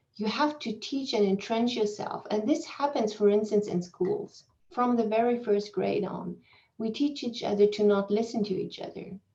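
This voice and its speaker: Speaking at a moderate pace with a non-native accent, a woman uses a fairly high pitch and ordinary pitch variation. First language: not English. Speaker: keynote speaker, psychology professor. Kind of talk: academic Q&A answer. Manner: halting, with repetitions and fillers.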